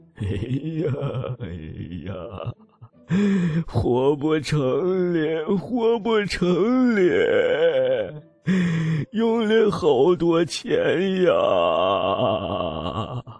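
In a put-on character voice, a man talks with a tearful tone at a very slow pace. His loudness stays very even over faint music in the background. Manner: wailing, tearful.

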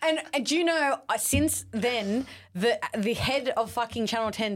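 A woman with an Australian accent uses lively intonation on a very clean recording with a silent background. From South West Sydney, Australia. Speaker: reality TV personality. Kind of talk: casual chat.

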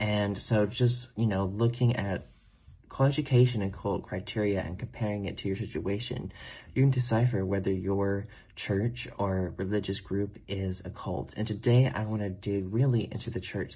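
The tone is dark and mellow, somewhat breathy. It moves at a moderate pace with ordinary pitch variation. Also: man. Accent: American. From US South, North Carolina. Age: 20s. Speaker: podcast host, religion recovery coach. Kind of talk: personal testimony monologue.

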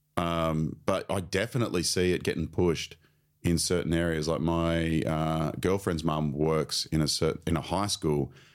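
A man's very deep, low voice in an Australian accent on a very clean recording with a silent background. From Australia, Queensland (Sunshine Coast). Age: 30s. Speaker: comedian and teacher. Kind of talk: casual chat.

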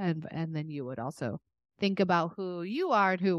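An ordinary speaking voice from a woman, fairly low in pitch, moving at a moderate pace with ordinary pitch variation against a quiet background in a dry, close sound with no echo. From Texas. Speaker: podcast co-host. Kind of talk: casual chat.

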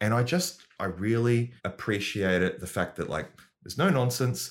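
A man with an unremarkable speaking voice and lively intonation. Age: 40s. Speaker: comedian. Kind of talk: casual chat.

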